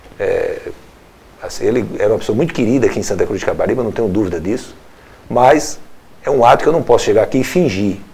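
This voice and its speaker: Amid noticeable background noise, a man talks at a very fast pace broken by long, frequent pauses. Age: 60s. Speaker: former local politician and radio broadcaster. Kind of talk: interview. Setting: studio.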